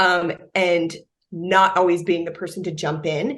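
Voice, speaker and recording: This woman's voice sits at a fairly low pitch. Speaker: product marketing director. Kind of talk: interview. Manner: loud.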